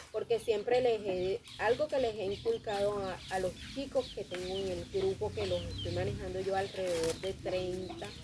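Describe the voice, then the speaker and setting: A woman speaks with a Colombian coastal accent at a moderate pace. She leaves hardly any pauses, and noticeable background noise is present. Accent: Colombian coastal (costeño). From Colombian Caribbean coast. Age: 30s. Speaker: theatre group director and manicurist. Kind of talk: interview.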